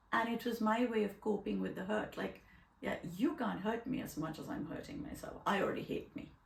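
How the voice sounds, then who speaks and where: A woman with a fairly high pitch speaks at a fairly quick pace with lively intonation, over noticeable background noise and audible room echo. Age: 60s. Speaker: podcast host. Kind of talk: casual chat.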